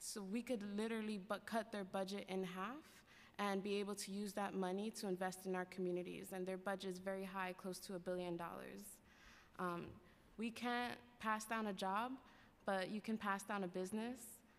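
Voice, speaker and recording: With an American accent, a woman speaks at a moderate pace using fairly even intonation. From New York City, Lower East Side and Spanish Harlem; New York City. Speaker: worker cooperative advocate; public witness. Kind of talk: public testimony. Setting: council chambers. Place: hall. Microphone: podium.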